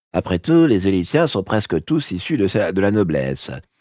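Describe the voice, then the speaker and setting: A man's shaky, put-on character voice at a fairly low pitch and moderate pace, with very wide pitch swings and a dry, close sound with no echo. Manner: trembling, hesitant.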